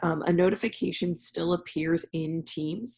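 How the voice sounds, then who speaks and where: Very deep, low pitch from a woman, dark and mellow in tone with vocal fry, over a quiet background. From California. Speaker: university professor. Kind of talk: recorded class announcement. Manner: frequent fillers (um).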